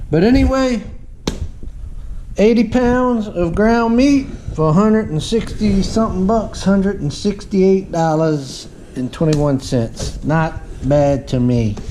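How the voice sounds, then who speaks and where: Against noticeable background noise and audible room echo, a man with a Southern US accent speaks at a high pitch with very wide pitch swings. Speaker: homesteading vlogger. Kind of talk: casual vlog. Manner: slow; halting.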